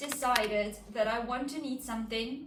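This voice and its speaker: A woman speaks with a high pitch. There is noticeable background noise and audible room echo. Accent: non-native. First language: not English. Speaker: knitting vlogger. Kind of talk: casual vlog. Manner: hesitant, many fillers.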